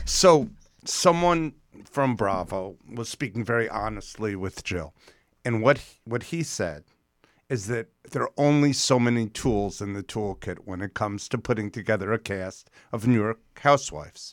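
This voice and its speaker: A man with an ordinary speaking voice and a medium pitch at a moderate pace, with lively intonation and big swings in loudness, in a very clean recording with a silent background. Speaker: guest's boyfriend. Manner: joking.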